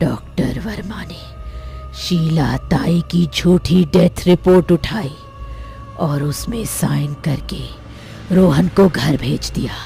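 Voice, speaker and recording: Very slow speech in a put-on character voice, with music clearly playing behind it. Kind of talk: horror narration. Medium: audio drama. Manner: grave, brooding.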